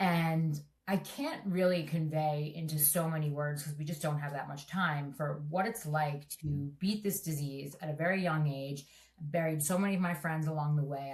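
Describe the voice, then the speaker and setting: A woman talks in a New York accent at a moderate pace. Her pitch is very deep and low, with fairly even intonation. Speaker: real estate agent and investor. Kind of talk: podcast interview.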